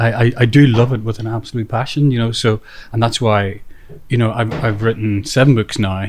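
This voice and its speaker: Somewhat breathy, a man with an Irish accent speaks at a medium pitch and a fairly quick pace. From Northern Ireland. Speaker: author and local historian. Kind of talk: interview. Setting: hotel by the golf course. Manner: halting with many fillers.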